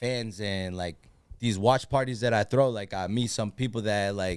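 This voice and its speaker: The man's voice has ordinary pitch variation. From Massachusetts, Lawrence. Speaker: sports superfan and social media personality. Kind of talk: casual podcast chat.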